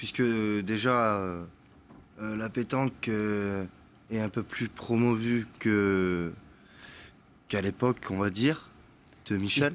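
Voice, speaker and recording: Very slow and full of long, frequent pauses, a man speaks in a fairly low voice with fairly even intonation on a very clean recording with a silent background. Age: 20s. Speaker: young petanque player. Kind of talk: TV interview. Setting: TV studio.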